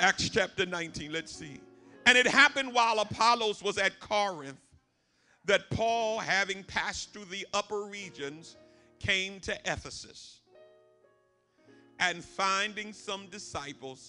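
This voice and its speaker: A man's raised, projected voice at a fairly slow pace, with big swings in loudness, ordinary pitch variation, long, frequent pauses and faint music in the background. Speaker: preacher. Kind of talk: sermon. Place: church. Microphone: podium.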